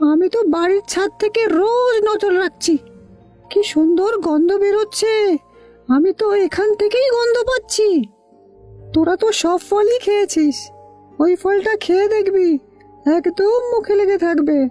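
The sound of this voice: A female-sounding cartoonish character voice at an extremely high pitch plays over faint music in the background. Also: fairly slow pace.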